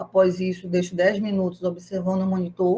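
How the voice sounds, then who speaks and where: A woman at medium pitch, somewhat breathy, at a fairly quick pace. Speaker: organ donation specialist giving a talk. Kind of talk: lecture. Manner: fast; animated.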